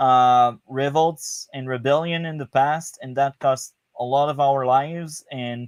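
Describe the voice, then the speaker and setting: A man with a French Canadian accent at a fairly high pitch, fairly slow and fairly even in intonation, in a dry, close sound with no echo. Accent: French Canadian accent noted. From Quebec, Canada. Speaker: podcast guest. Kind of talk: casual chat. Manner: halting, repeats words.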